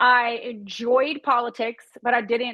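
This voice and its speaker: A high-pitched woman's voice in a Tennessee accent. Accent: Southern US (Tennessee). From East Tennessee. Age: 40s. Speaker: real estate broker and entrepreneur. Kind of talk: interview conversation.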